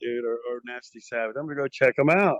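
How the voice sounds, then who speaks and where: A man is speaking here. His pitch sits in the medium range. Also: dry, close sound with no echo. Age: 60s. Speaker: metal band frontman. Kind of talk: podcast interview. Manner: animated.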